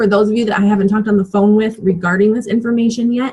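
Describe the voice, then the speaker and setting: This woman talks at a very fast pace with a fairly high pitch. Her voice is somewhat breathy, and her intonation stays fairly even. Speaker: fitness business coach. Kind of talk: training call.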